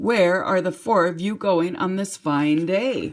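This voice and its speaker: This is a put-on character voice, raspy and middle in pitch. It moves at a fairly slow pace. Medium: read story.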